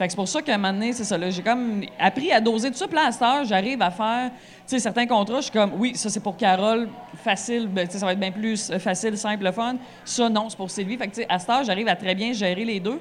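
Here is a woman with a plain, everyday voice and a fairly high pitch. She talks at a fairly quick pace with ordinary pitch variation. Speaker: stand-up comedian. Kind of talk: casual chat. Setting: bar stage with live audience.

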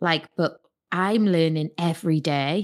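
A woman with a Geordie accent at a fairly slow pace, on a very clean recording with a silent background. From northern England, Newcastle. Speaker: entrepreneur. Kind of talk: interview conversation.

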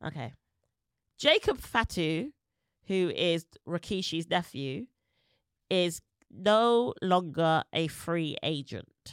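A woman speaks with a British accent at a very slow pace, leaving long, frequent pauses. Her fairly low pitch carries lively intonation, and the sound is dry and close with no echo. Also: very clean recording, silent background. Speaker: podcast host. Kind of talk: casual chat.

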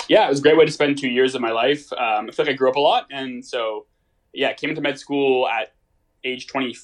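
A man at a very fast pace, with fairly even intonation. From Toronto, Canada. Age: 20s. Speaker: medical student. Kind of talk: casual chat. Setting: remote call.

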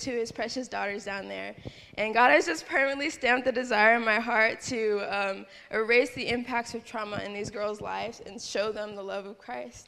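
Fairly high in pitch, this woman's voice has a bright, sharp tone. Her intonation is fairly even, and the room echo is audible. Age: young. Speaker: missionary. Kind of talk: testimony. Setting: church.

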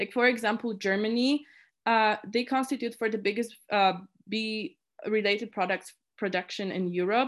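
With a Polish accent, a woman speaks in a fairly high voice with fairly even intonation on a very clean recording with a silent background. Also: moderate pace. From Poland. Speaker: student committee chair. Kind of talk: interview. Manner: halting.

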